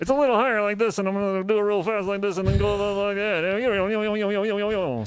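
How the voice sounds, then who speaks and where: Noticeable background noise sits under a put-on character voice. It has a fairly high pitch and a moderate pace. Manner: fast, rapid-fire.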